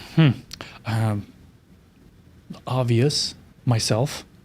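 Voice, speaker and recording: A somewhat breathy man with a Romanian accent, medium pitch, fairly even intonation and a very slow pace. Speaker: keynote speaker. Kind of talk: interview.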